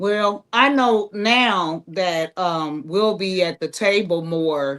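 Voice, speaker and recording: Her pitch shows ordinary variation. A woman talks against a quiet background. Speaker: stage actress. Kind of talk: casual chat.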